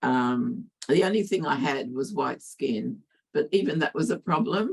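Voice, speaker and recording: A woman speaks at a fairly slow pace with an Australian accent. Her pitch swings very widely. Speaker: academic speaker. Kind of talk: interpreted talk.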